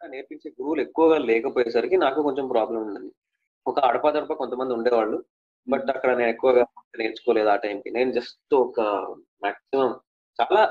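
A man talks in an ordinary speaking voice at a medium pitch that varies in an ordinary way. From Telangana, Mancherial (Adilabad district). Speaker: playback singer. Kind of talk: interview.

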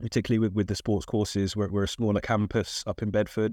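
A man with a London accent, fairly low pitch and monotone, flat intonation, in a dry, close sound with no echo and a quiet background. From South London, England. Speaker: diversity advocate in tennis. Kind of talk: casual interview. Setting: studio. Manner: hesitant with fillers.

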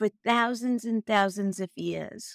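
An unremarkable speaking voice from a woman at a fairly high pitch, with ordinary pitch variation and a dry, close sound with no echo. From Brooklyn, New York. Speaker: wellness podcast host. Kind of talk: solo podcast talk.

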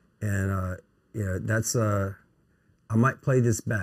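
A man speaks at a fairly low pitch in a somewhat breathy voice. The recording is very clean with a silent background, with a dry, close sound and no echo. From Louisiana, Melville (St. Landry Parish). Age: 40s. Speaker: recruitment agency CEO. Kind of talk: casual interview chat. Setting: on site at his office.

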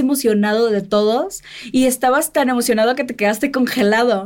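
Over noticeable background noise, a woman talks at a fairly quick pace in a high, animated voice with ordinary pitch variation. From Mexico, Sinaloa. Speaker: podcast host. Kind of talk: interview.

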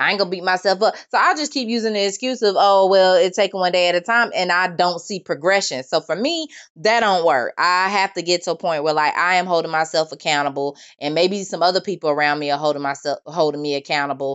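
A woman talks at a very fast pace with hardly any pauses, using a fairly low pitch and ordinary pitch variation. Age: 20s. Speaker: podcast host. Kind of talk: solo monologue podcast. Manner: casual, conversational.

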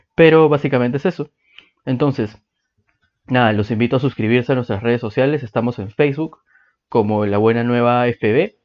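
A man's voice sits at a medium pitch, moving fairly quickly with ordinary pitch variation. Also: long, frequent pauses. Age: 20s. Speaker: podcast host. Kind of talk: podcast introduction monologue.

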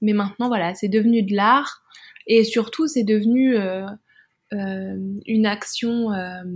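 With long, frequent pauses, a woman speaks at a very slow pace in a fairly high pitch and fairly even intonation. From France. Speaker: adult audio performer and podcaster. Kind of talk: interview conversation.

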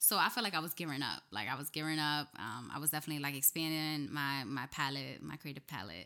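In a very clean recording with a silent background, the speaker talks at a very fast pace with hardly any pauses, using an American accent, vocal fry, a bright, sharp tone and lively intonation. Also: woman, very deep, low pitch for a woman. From New Jersey (Camden, near Philadelphia). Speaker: muralist and poet. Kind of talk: casual interview chat. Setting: studio.

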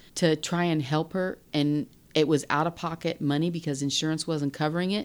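On a very clean recording with a silent background, a woman with an unremarkable speaking voice talks at a fairly quick pace with a fairly low pitch. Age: 50s. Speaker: host's mother. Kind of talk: casual chat.

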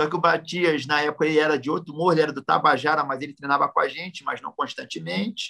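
Talking at a very fast pace with hardly any pauses, a man has a bright, sharp tone, vocal fry, a fairly high pitch and ordinary pitch variation. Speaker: jiu-jitsu master. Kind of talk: casual interview.

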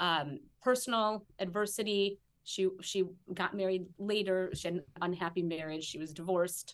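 At a moderate pace, a woman with an American accent uses a plain, everyday voice in a medium pitch with ordinary pitch variation. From US Midwest, Chicago. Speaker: historian and educator. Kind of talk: interview conversation.

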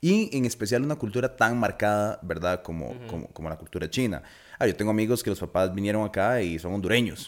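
Someone with a Costa Rican accent speaks at a very fast pace with ordinary pitch variation. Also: man, fairly low pitch for a man. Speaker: podcast host. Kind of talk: casual chat.

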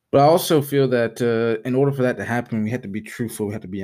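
In an American accent, a man speaks at a fairly quick pace and medium pitch on a very clean recording with a silent background. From US South, Alabama. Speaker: podcast host. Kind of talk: personal monologue. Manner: halting.

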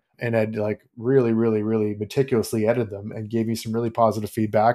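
Talking at a very fast pace, a man speaks with a Canadian accent. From Canada. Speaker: fantasy author. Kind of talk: interview.

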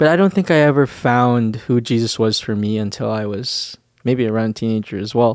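With a Canadian accent, a man speaks at medium pitch and a moderate pace with ordinary pitch variation, in an ordinary speaking voice, captured in a very clean recording with a silent background and a dry, close sound with no echo. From Canadian Prairies (Winnipeg, Manitoba). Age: 20s. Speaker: church teacher and podcast co-host. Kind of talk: casual chat. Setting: studio, seated on a couch.

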